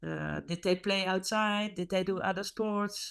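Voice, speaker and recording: Woman with a Dutch accent at a fairly slow pace, very clean recording with a silent background. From Netherlands. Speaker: hockey coach. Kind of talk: interview. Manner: halting.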